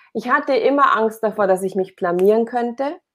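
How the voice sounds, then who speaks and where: At a moderate pace, a woman with a fairly high pitch speaks against a quiet background. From Bavaria, Upper Palatinate (Oberpfalz). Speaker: performance and business coach. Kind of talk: casual interview.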